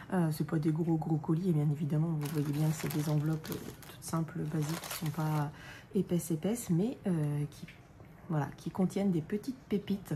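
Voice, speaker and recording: Quiet and very deep in pitch, a woman speaks at a moderate pace with fairly even intonation, as noticeable background noise plays behind her. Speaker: crafts YouTuber. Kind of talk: unboxing haul video. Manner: quiet, hushed; hesitant, many fillers.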